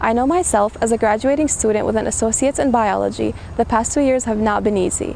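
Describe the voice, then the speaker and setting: The speech moves at a very fast pace. Noticeable background noise runs throughout. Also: woman. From Syria. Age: 20s. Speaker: graduating student and student government president. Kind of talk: commencement speech.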